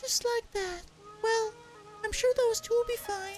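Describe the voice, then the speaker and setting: Clear music plays in the background as a man uses a squeaky, put-on character voice at an extremely high pitch. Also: moderate pace. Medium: machinima. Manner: earnest, solemn.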